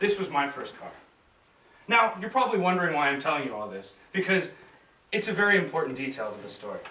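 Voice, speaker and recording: Speaking very fast with an American accent, this voice swings very widely in pitch and loudness, broken by long, frequent pauses. Noticeable background noise and audible room echo fill the recording. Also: man, high pitch for a man. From United States. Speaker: hypnotherapist giving a club speech. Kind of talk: contest speech.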